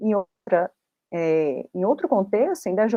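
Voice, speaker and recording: This woman has a plain, everyday voice at medium pitch, speaking at a moderate pace with lively intonation. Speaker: independent researcher, academic presenter. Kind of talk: academic conference talk. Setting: online video conference.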